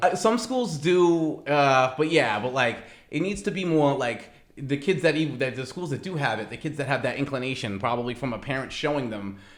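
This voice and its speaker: Speaking quickly with lively intonation, a man has an unremarkable speaking voice at a fairly high pitch. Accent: American. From Massachusetts. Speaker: risk management professional. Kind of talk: interview answer.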